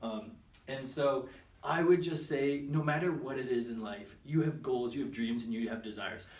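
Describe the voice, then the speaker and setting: A man talks at medium pitch with ordinary pitch variation. Audible room echo and noticeable background noise fill the recording. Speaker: personal development vlogger. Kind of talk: casual vlog monologue. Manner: fast; hesitant, many fillers.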